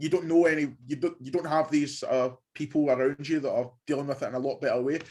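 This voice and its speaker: A man with a Glaswegian accent speaks very fast in a fairly high voice. His intonation is monotone and flat. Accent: Glaswegian Scottish. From Scotland, Glasgow. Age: 20s. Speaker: university student. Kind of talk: casual interview.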